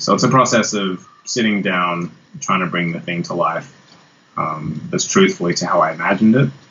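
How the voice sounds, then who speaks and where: With an Australian accent and a very deep, low pitch, a man speaks at a fairly quick pace with ordinary pitch variation over noticeable background noise. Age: 40s. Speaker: guitarist. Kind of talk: interview.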